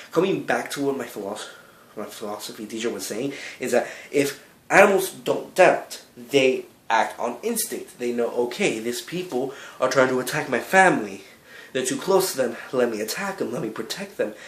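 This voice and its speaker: Moderate speed and lively, varied intonation, in a room with audible echo. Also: man, medium pitch for a man. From Cuba, raised in the United States from a young age. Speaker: video blogger. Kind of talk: vlog monologue. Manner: halting, with self-corrections.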